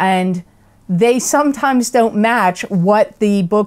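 A woman speaks fairly slowly in a quiet setting, her pitch varying in an ordinary way. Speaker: tarot reader. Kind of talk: casual vlog chat. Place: home room.

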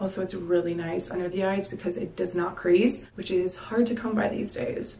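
A woman's very fast speech with fairly even intonation and audible room echo. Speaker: beauty vlogger. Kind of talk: makeup tutorial chat. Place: bathroom. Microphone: camera far.

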